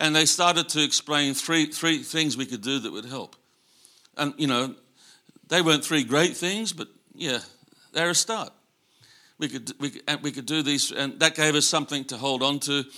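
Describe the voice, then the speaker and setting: Speaking at a moderate pace with long, frequent pauses, a man with an Australian accent has a fairly high pitch, ordinary pitch variation and a bright, sharp tone. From Australia, Sydney. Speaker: missionary. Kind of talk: sermon. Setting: church. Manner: halting, many fillers.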